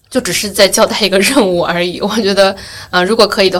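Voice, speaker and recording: A woman at medium pitch and a very fast pace, fairly even intonation, amid noticeable background noise. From Yueqing, Wenzhou, Zhejiang, China. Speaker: podcast host. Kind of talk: casual chat.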